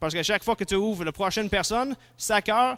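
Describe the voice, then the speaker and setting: A man's high-pitched voice at a moderate pace, with ordinary pitch variation, in a very clean recording with a silent background and a dry, close sound with no echo. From English-speaking. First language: English (speaking French). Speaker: philosophy and theology lecturer. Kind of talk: lecture. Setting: conference talk before audience. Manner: halting, with fillers and restarts.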